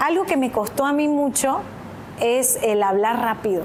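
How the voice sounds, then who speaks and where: Noticeable background noise accompanies a woman whose voice is high-pitched. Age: 30s. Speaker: TV news presenter and journalist. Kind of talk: interview on public speaking. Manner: fluent, continuous.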